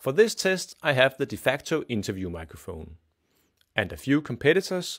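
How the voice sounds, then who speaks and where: Vocal fry runs through this man's voice as he talks at a moderate pace against a quiet background. His pitch swings very widely. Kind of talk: product demonstration. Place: studio.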